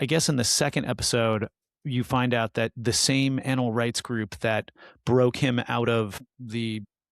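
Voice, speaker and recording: A man speaks fairly slowly in a normal speaking voice, with ordinary pitch variation. The recording is very clean, with a silent background and a dry, close sound with no echo. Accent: American. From United States. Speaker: podcast co-host. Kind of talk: casual chat. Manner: casual, filler-heavy speech.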